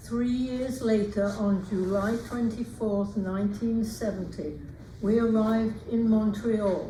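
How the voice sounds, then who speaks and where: In a room with audible echo, a woman with an English accent speaks very slowly at a fairly high pitch, her intonation monotone and flat. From England. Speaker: retired teacher and author. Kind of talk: reading aloud.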